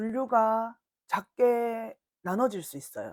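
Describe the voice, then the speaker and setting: The sound is dry and close, with no echo. Speech comes at a very slow pace in a strong Gyeongsang accent. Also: woman. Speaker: blog instructor. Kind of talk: lecture.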